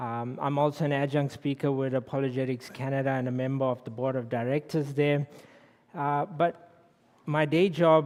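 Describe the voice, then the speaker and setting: A man with a South African accent speaks at a fairly high pitch with ordinary pitch variation. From South Africa, Durban. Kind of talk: public lecture.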